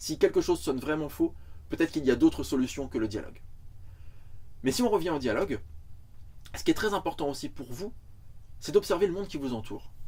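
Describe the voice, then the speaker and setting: A man talks at a very fast pace, broken up by long, frequent pauses. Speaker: screenwriting teacher. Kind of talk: lecture.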